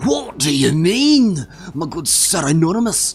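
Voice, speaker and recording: A man in a put-on character voice, high-pitched and fairly slow, with light background noise. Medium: solo performance.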